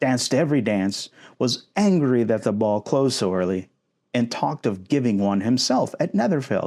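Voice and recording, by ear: This is reading aloud in a natural voice with lively intonation. The background is quiet.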